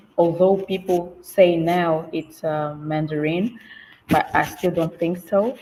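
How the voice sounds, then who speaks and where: At a very slow pace, a woman with a fairly low pitch talks with fairly even intonation. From Namibia. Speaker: English teacher and career manager. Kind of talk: online panel discussion. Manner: halting, many fillers.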